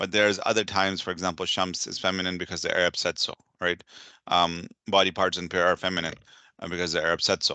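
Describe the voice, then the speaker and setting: Over a quiet background with a dry, close sound and no echo, a man with a very deep, low pitch speaks very fast in a flat monotone, his tone bright and sharp. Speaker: Arabic teacher. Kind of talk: recorded lesson. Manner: hesitant, many fillers.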